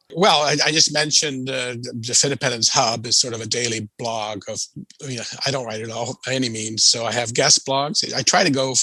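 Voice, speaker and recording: Speech moves at a fairly quick pace against noticeable background noise. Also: man. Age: 60s. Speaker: financial writer and blogger. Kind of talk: interview. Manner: halting, many fillers.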